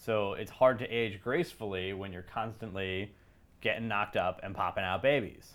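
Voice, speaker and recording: In a plain, everyday voice, someone talks at a moderate pace with ordinary pitch variation and big swings in loudness. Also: man, fairly low pitch for a man. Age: 30s. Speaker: beer podcast co-host. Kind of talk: casual chat.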